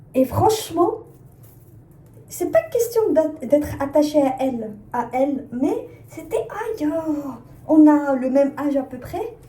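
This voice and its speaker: Speaking at a very slow pace with long, frequent pauses, the voice has lively intonation and audible room echo. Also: woman, high pitch for a woman. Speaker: fashion brand designer, vlogger. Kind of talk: casual vlog chat. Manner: hesitant, many fillers.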